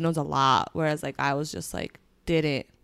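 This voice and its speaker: A woman with a Spanish accent speaks in a very deep, low pitch at a moderate pace. Her pitch varies in an ordinary way, and the recording is very clean with a silent background. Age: 20s. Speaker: podcast co-host. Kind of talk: casual chat.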